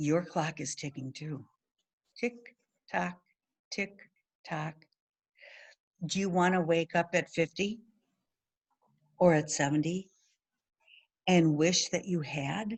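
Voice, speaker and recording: Pausing long and often at a very slow pace, a woman with an American accent speaks at a fairly low pitch with ordinary pitch variation. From US Midwest, Wisconsin (Milwaukee area). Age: 70s. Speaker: retired sales director. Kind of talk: motivational talk. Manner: direct; animated.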